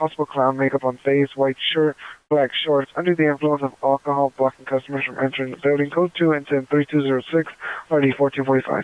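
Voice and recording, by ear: A man speaks at a fast pace and a medium pitch, with little pitch movement and a dry, close sound that has no echo.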